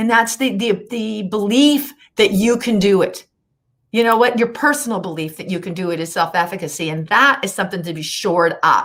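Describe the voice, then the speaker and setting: With a plain, everyday voice, a woman talks at a fairly quick pace, medium in pitch, with lively intonation. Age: 60s. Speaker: weight-loss success story guest. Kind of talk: interview.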